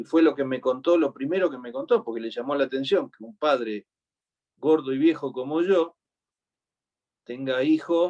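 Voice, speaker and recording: This man has an Argentine accent. His pitch is fairly high and his pace moderate. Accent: Rioplatense Argentine Spanish. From Argentina, Buenos Aires. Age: 60s. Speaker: preacher. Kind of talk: sermon.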